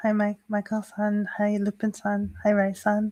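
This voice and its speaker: A woman speaks with a somewhat breathy, fairly high voice and a dark, mellow tone. The recording is very clean, with a silent background. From Canada, Toronto. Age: 30s. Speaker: Shinto priestess. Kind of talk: live stream talk. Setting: livestream. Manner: casual with many fillers.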